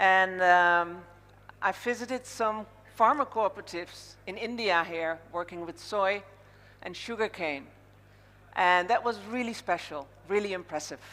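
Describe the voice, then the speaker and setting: Fairly slow speech from a woman with a Dutch accent, medium pitch, ordinary pitch variation, a bright, sharp tone, big swings in loudness, and long, frequent pauses. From Netherlands. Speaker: conference MC. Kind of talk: event hosting speech. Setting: stage with audience.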